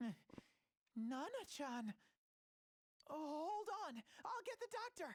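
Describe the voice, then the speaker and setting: In a put-on character voice pitched high, the speaker swings very widely in pitch at a fairly slow pace, with long, frequent pauses. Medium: video game.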